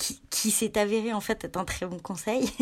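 A woman talks with a fairly high pitch and ordinary pitch variation. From France, Annecy (Rhône-Alpes). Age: 30s. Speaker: journalist and magazine founder. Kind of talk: interview. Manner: halting, many repetitions and fillers.

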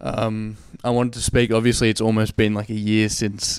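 A man's fairly low-pitched voice with an Australian accent, monotone and flat intonation, at a moderate pace. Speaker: podcast host. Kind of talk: interview. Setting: in a friend's room.

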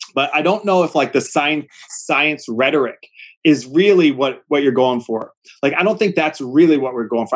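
A man with an American accent has a normal speaking voice. He talks at a fairly quick pace with lively intonation. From Pennsylvania. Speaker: high school civics teacher. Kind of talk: casual interview.

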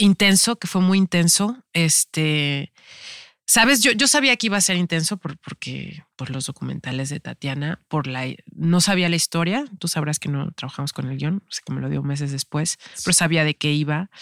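Speaking at a moderate pace with lively intonation, a woman is heard in a very clean, dry, close recording with a silent background and no echo. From Mexico, Veracruz and Tampico. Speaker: actress. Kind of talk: casual interview chat. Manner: halting with many fillers.

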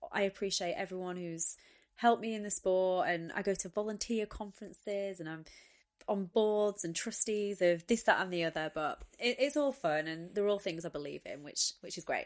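In a very clean recording with a silent background, a woman speaks at a moderate pace with a medium pitch and ordinary pitch variation. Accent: Lancashire. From northern England, Wigan. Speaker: retired Olympic athlete. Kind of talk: interview.

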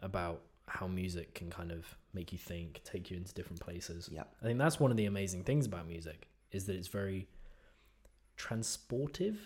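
A somewhat breathy man with very deep, low pitch, ordinary pitch variation and a fairly quick pace. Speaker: podcast host. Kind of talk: casual chat.

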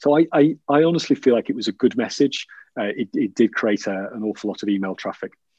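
The speaker has a dark, mellow tone and a Yorkshire accent, with lively intonation at a very fast pace. The sound is dry and close with no echo, against a quiet background. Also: man, medium pitch for a man. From Yorkshire, northern England. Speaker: business executive. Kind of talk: interview conversation. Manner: halting, many fillers.

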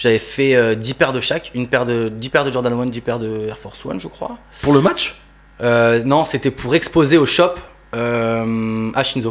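A man with an unremarkable speaking voice talks at medium pitch and a fairly slow pace, his intonation fairly even. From France, Toulouse (grew up). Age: 20s. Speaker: sneaker customizer artist. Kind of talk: casual interview chat.

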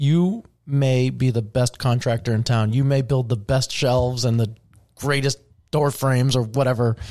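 A man's dark, mellow tone sits at medium pitch, his intonation fairly even. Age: 40s. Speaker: real estate agent and team leader. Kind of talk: casual interview.

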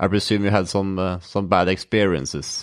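The voice has a Norwegian accent and moves at a moderate pace. The background is quiet. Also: man. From Norway. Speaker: podcast host, mental trainer. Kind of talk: casual interview.

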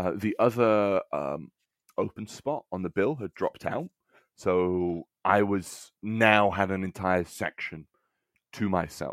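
A man with an English accent speaks at a very slow pace in a fairly low pitch with ordinary pitch variation, the recording very clean with a silent background and a dry, close sound with no echo. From England. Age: 20s. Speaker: comedian. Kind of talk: casual chat.

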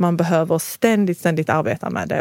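With a dark, mellow tone and a fairly low pitch, a woman talks very fast with ordinary pitch variation, in a dry, close sound with no echo. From moved to Sweden at age five. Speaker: union representative. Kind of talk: casual chat.

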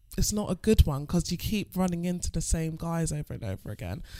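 A woman with a London accent and a dark, mellow tone, on a very clean recording with a silent background. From England. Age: 20s. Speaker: stripper. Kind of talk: casual chat.

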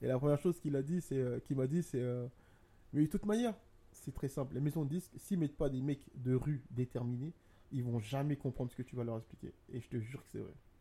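A man's somewhat breathy voice, dark and mellow in tone, at a fairly quick pace. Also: fairly high pitch for a man, ordinary pitch variation, big swings in loudness. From abroad, from a war-affected home country. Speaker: business co-founder and podcast co-host. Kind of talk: casual chat. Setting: studio on a sofa with mic stands. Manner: animated.

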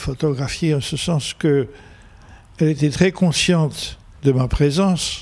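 A man's fairly high, somewhat breathy voice, fairly slow, with ordinary pitch variation. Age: 80s+. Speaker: photojournalist. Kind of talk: interview.

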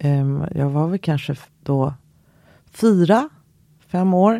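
A woman's dark, mellow voice with ordinary pitch variation. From Sweden, Skokloster (Uppland countryside). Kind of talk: interview.

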